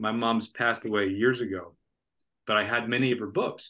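With an American accent, a man speaks in a normal speaking voice at a medium pitch and fairly quick pace over a quiet background. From Florida. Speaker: author. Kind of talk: interview.

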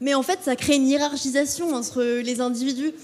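There is noticeable background noise as a woman talks with fairly even intonation. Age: 20s. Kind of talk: live panel talk. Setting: stage with audience. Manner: hesitant, many fillers.

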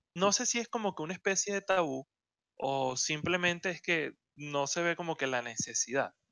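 A man with a Venezuelan accent talks at a moderate pace with lively intonation. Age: 20s. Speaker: podcast co-host. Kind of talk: casual chat.

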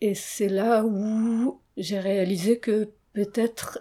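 On a very clean recording with a silent background, a woman talks at a medium pitch in a dark, mellow tone with monotone, flat intonation. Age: 40s. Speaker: interviewee. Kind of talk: interview. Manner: hesitant.

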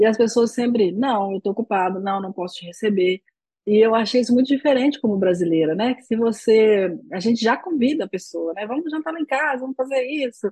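A woman talks at a fairly quick pace with a fairly high pitch and lively intonation, her tone dark, mellow and somewhat breathy. The sound is dry and close, with no echo. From Brazil. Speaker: podcast host, Portuguese teacher. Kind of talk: interview.

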